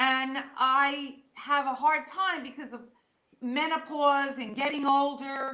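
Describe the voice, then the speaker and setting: Speaking very slowly in a raised, projected voice, a woman with a high pitch and a bright, sharp tone keeps a monotone, flat intonation amid audible room echo. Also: big swings in loudness. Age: 60s. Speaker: medium. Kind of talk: interview.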